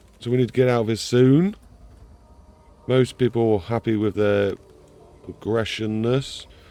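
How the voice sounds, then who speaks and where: A man speaks with music playing in the background. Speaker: gaming video creator. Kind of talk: gameplay commentary.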